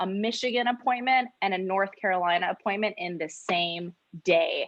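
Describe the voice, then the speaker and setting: With an American accent and an unremarkable speaking voice, a woman of medium pitch talks at a moderate pace with ordinary pitch variation. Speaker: insurance sales agent. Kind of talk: training talk.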